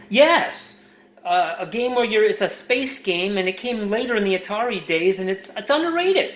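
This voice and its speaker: This man's voice sits high and moves with lively intonation at a moderate pace. Noticeable background noise runs under it. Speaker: caller to emergency line in comedy skit.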